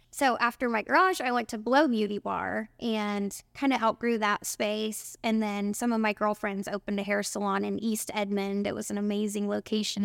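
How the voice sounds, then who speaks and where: A woman with a plain, everyday voice and an American accent speaks at a moderate pace with hardly any pauses, her medium pitch showing ordinary pitch variation. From Oklahoma, small town. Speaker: spray tan business owner. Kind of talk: casual interview.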